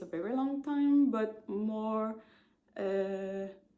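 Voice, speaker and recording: With a Quebec accent, a woman speaks at a very slow pace in a fairly high pitch with fairly even intonation. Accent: Québécois French accent in English. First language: French. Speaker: knitting podcaster. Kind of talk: casual chat. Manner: halting, many fillers.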